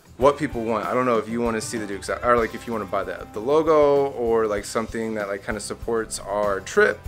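Very fast speech with fairly even intonation plays over faint music in the background. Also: man. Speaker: vlogger. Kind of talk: casual vlog chat. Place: street. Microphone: phone near.

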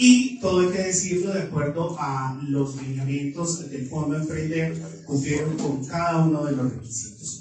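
The speech runs at a fairly slow pace with hardly any pauses. Strong room echo and light background noise surround it. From Colombia. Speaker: event emcee. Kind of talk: ceremony announcing. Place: meeting room.

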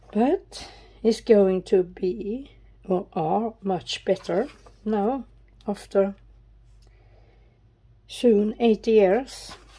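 A woman with a medium pitch and ordinary pitch variation speaks very slowly with long, frequent pauses in a Swedish accent. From Sweden. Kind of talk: casual talk to camera.

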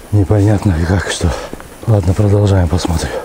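A man speaks in a fairly low pitch. The sound is dry with no echo, though there is noticeable background noise. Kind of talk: casual commentary while walking. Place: forest. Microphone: phone near.

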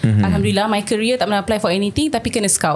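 A woman speaks with a Malaysian accent. Music plays in the background. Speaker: voice-over artist and TV host; former broadcast journalist. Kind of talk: podcast interview answer. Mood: serious, telling a story. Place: studio. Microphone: studio mic.

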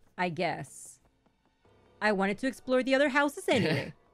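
Music plays in the background. A woman talks with very wide pitch swings. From Mexico. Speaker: gaming content creator. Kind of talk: casual gaming commentary.

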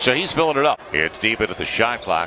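With an animated tone and very wide pitch swings, a man speaks at a fairly quick pace against noticeable background noise. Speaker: sports commentator. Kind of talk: live sports play-by-play commentary. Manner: animated, rapid-fire play-by-play; emphatic, builds excitement on big plays.

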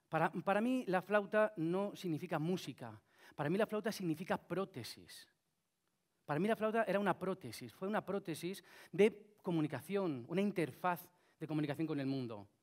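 The speaker is a man with a high voice. He talks with lively intonation. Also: moderate pace. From Spain, Cuenca. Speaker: flutist and inventor. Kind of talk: talk to an audience. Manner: halting, many fillers.

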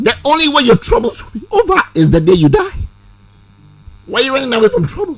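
A man's very fast speech at an extremely high pitch, with very wide pitch swings, over a quiet background. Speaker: actor. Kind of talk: interview answer. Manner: preaching, emphatic. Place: studio. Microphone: studio mic.

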